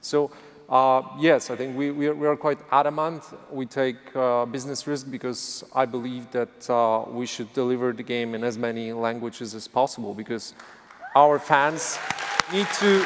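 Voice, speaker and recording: A man talks at a moderate pace with a medium pitch and ordinary pitch variation. Noticeable background noise runs under his voice. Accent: Polish. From Poland. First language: Polish. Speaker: game studio executive. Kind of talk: panel discussion. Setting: stage with audience. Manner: halting.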